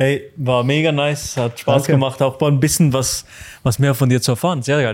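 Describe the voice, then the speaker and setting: Here a man speaks at a fairly high pitch. His intonation is fairly even. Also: very even loudness. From Switzerland. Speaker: podcast host. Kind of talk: casual chat. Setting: barber shop.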